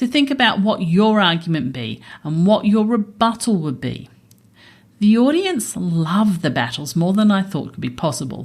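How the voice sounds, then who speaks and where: At a moderate pace, a woman with a fairly high, somewhat breathy voice speaks with very wide pitch swings. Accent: Australian. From Australia. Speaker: accountant and podcast host. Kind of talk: podcast narration; live debate on stage. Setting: stage with audience at a festival.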